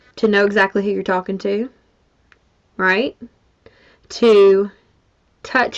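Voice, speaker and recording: A woman speaks in a Mississippi accent. Her pitch is medium and her pace moderate. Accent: Mississippi Southern. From US South (Mississippi). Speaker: business coach. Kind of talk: online workshop. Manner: casual.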